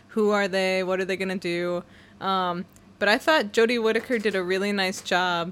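On a very clean recording with a silent background, a woman talks at a moderate pace and medium pitch. It is an ordinary speaking voice with fairly even intonation. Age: young. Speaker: podcast co-host, creative writing background. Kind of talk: casual chat.

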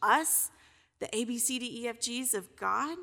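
On a very clean recording with a silent background, a woman speaks in a high pitch with a bright, sharp tone. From Kentucky. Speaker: pastor. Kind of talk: sermon. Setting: church.

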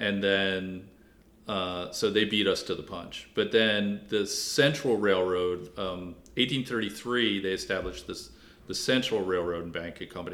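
With an American accent, a man talks in a very deep, low pitch and ordinary pitch variation. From Washington D.C. area. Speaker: author and local historian. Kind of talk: interview.

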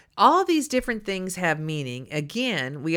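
A woman with a Texas accent speaks in a bright, sharp tone on a very clean recording with a silent background. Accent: Texas Southern US. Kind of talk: religious teaching talk.

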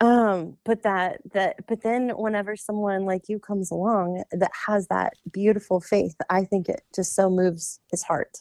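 A woman with an American accent has an ordinary speaking voice at a medium pitch. She talks at a fairly slow pace with hardly any pauses and fairly even intonation. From US South. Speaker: podcast co-host, nurse. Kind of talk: casual chat.

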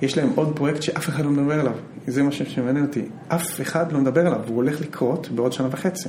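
The speech comes very fast over noticeable background noise, with audible room echo. Intonation stays fairly even and loudness is very even. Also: man, fairly high pitch for a man. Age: 40s. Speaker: hedge fund manager. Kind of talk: interview.

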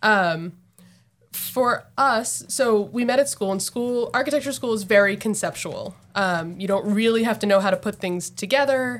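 A woman with an American accent, fairly high pitch and ordinary pitch variation, at a moderate pace, in a very clean recording with a silent background. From New Jersey. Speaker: architect. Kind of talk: casual interview. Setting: on location at their office.

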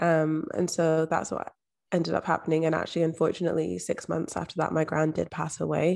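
With a Scottish accent, a woman speaks at a fairly quick pace in a very clean recording with a silent background. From Scotland, Edinburgh. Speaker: mindset and manifestation coach. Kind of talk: interview conversation.

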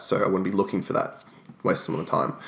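A man talks with an Australian accent. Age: 20s. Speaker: personal trainer. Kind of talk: interview.

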